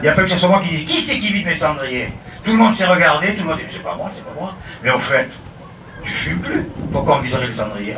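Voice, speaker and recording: In a Marseille accent, a man speaks fairly quickly in a raised, projected voice with very wide pitch swings and big swings in loudness, amid audible room echo and noticeable background noise. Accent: Marseille southern French. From France, Marseille. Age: 50s. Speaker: religious pilgrim. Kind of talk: testimony.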